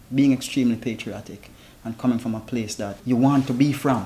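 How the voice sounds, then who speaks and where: A man speaks with a Jamaican accent. His medium pitch follows fairly even intonation. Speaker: founder of a traveling chef service. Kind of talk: interview.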